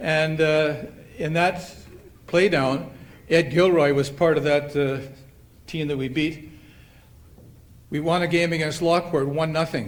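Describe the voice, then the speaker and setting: A man with a Canadian Prairie accent speaks at a fairly high pitch and a fairly slow pace, with long, frequent pauses. His intonation is fairly even, and room echo is audible. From Canada, Manitoba (Winnipeg). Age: 70s. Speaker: retired softball player, hall of fame inductee. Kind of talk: acceptance speech. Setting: banquet hall with audience. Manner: halting, with many fillers.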